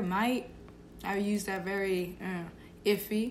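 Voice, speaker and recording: A woman's medium-pitched voice at a very slow pace, monotone and flat in intonation, with audible room echo. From Boston, Massachusetts. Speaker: college student co-host. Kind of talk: casual chat.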